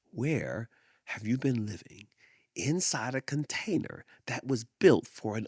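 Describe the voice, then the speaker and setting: Speaking very slowly, a man with a medium-pitched voice uses lively intonation. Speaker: podcast host. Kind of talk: reflective monologue. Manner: repetitive, emphatic; slow, with deliberate pauses.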